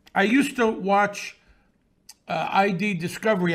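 A man with a high pitch and a New York accent. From Brooklyn, New York. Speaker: author and podcaster. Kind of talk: casual interview. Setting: remote from New York City.

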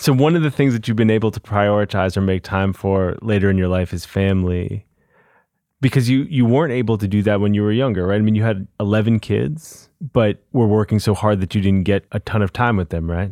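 A man uses a normal speaking voice, fairly low in pitch with ordinary pitch variation. He moves at a fairly quick pace, and the sound is dry and close with no echo. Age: 40s. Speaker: podcast host. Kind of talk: interview; scripted narration. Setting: studio.

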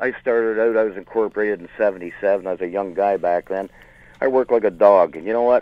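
With an unremarkable speaking voice, a man talks at a fairly quick pace and a fairly low pitch, keeping his intonation fairly even. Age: 60s. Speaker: small business owner, caller. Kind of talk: call-in radio conversation. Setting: phone call.

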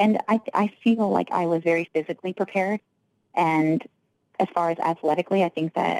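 A woman has an ordinary speaking voice, fairly low in pitch, with fairly even intonation and very even loudness. She talks at a fairly quick pace, and the sound is dry and close with no echo. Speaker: professional fighter. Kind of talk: casual interview.

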